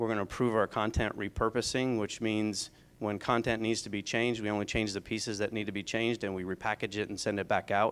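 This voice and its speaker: A man talks very fast with hardly any pauses, his fairly low voice flat and monotone in a very clean recording with a silent background. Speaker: program manager presenting at training summit. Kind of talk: conference presentation.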